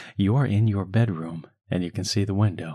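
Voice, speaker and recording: In a very clean recording with a silent background, a man speaks fairly slowly at a fairly low pitch, his tone dark, mellow, soothing and calm, his intonation lively. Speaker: hypnotherapist. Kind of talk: guided hypnosis script for children. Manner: slow, soothing, calm; gentle, hypnotic, unhurried pacing.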